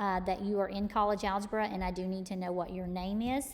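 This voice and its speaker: A woman speaks with an East Texas accent. Her pitch sits in the middle range, and her intonation stays fairly even. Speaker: college math instructor. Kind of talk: tutorial. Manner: casual, with many fillers.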